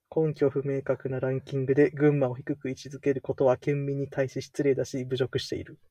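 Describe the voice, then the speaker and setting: In a Kansai accent, a man with a fairly high pitch speaks at a fairly quick pace with hardly any pauses. His somewhat breathy voice has a dark, mellow tone and monotone, flat intonation. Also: big swings in loudness, dry, close sound with no echo. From Kansai, Japan. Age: 20s. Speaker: podcast co-host. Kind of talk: casual chat.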